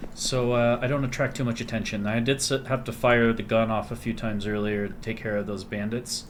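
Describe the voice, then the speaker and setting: A man talks quietly at a fairly quick pace with hardly any pauses. His medium-pitched voice stays monotone and flat. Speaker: gaming video creator. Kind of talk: let's play commentary. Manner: quiet, keeping voice down; casual, conversational.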